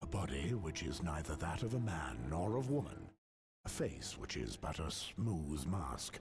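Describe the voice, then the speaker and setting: A man adopts a put-on character voice at a very deep, low pitch. His pitch swings very widely. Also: moderate pace. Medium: video game. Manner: solemn, measured.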